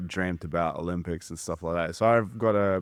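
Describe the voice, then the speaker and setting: A man with a New Zealand accent and fairly even intonation. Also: very clean recording, silent background. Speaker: judo coach. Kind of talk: casual chat.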